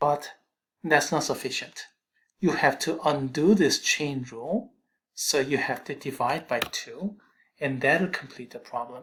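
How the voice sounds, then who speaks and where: Someone with a Korean accent speaks at a fairly slow pace. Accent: Korean accent, noticeable. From South Korea. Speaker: math instructor. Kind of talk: lecture.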